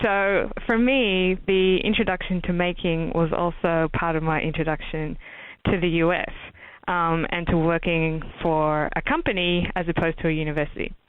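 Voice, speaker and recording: In an Australian accent, a woman speaks at a moderate pace with a fairly low pitch, fairly even intonation and very even loudness. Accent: Australian accent, noticeable. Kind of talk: interview. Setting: podcast.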